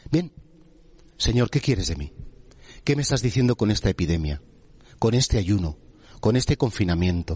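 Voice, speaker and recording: The voice moves through very wide pitch swings at a moderate pace, somewhat breathy, with long, frequent pauses and a dry, close sound with no echo. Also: man, fairly low pitch for a man. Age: 50s. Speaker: priest. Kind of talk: sermon.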